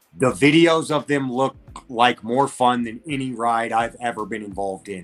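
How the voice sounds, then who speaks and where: With an American accent, the speaker uses an animated tone, ordinary pitch variation and a moderate pace, with music in the background. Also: man. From Colorado. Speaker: electric bike rider. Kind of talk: interview. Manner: loud.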